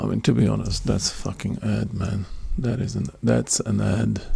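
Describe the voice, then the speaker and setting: A quiet man speaks at a fairly slow pace with very wide pitch swings, noticeable background noise behind him. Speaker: day trader streaming live trades. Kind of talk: live trading commentary. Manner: very quiet; calm, focused.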